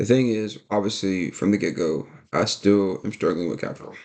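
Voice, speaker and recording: Over a quiet background, a man talks at a fairly low pitch. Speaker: day trader and video creator. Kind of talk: casual vlog talk. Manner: fast; animated.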